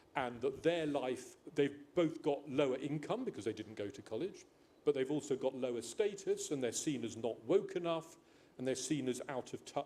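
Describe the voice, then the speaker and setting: A man's fairly high voice with a dark, mellow tone, an English accent, ordinary pitch variation and a moderate pace. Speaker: panel speaker. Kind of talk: panel discussion. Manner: halting.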